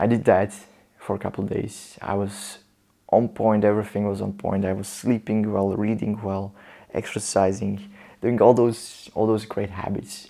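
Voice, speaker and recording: In a very clean recording with a silent background, a dark, mellow voice with a non-native accent speaks in a flat monotone. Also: man, fairly low pitch for a man, moderate pace. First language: not English. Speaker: motivational vlogger. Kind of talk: personal storytelling monologue.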